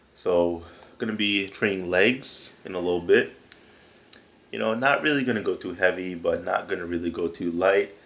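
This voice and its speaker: A man's very deep, low voice at a moderate pace. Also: ordinary pitch variation. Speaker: fitness vlogger. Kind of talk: vlog narration. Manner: casual.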